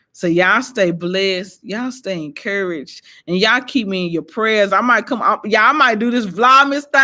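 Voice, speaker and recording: Her voice is medium-pitched with a bright, sharp tone and lively intonation, and this woman speaks at a moderate pace on a very clean recording with a silent background. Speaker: inspirational vlogger. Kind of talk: testimony. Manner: animated.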